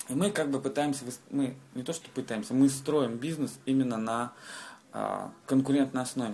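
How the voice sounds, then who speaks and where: With a dark, mellow tone, a man at medium pitch talks at a moderate pace, using ordinary pitch variation and long, frequent pauses. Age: 20s. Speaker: restaurateur. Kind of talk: interview. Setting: in a restaurant.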